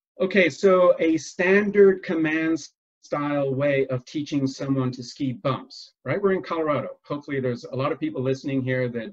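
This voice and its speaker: A man speaks with a fairly high pitch and lively intonation, somewhat breathy. His pace is moderate. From England. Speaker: business consultant and former ski instructor. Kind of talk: interview. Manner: many fillers and restarts.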